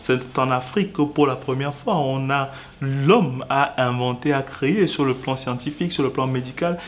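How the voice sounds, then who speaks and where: A man uses ordinary pitch variation while talking at a moderate speed. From Cameroon. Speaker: lawyer and business association spokesperson; lawyer, civil society spokesman. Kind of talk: interview. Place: studio.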